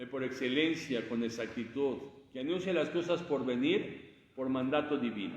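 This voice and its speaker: Audible room echo surrounds the man as he talks at a moderate pace. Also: medium pitch for a man, ordinary pitch variation. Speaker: preacher. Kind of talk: sermon. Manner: halting. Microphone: speaking without microphone.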